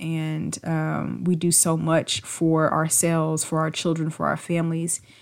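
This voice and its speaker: In a very clean recording with a silent background, a woman speaks at a moderate pace and a fairly low pitch, her intonation monotone and flat. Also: hardly any pauses. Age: 30s. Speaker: podcast host and PhD student. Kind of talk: casual monologue.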